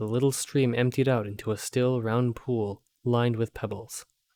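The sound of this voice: An unforced reading voice with fairly even intonation over a quiet background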